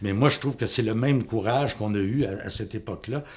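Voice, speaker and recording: The man's voice is somewhat breathy, with a medium pitch. He keeps a moderate pace and ordinary pitch variation. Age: 60s. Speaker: teacher and parent. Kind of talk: political testimony. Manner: halting.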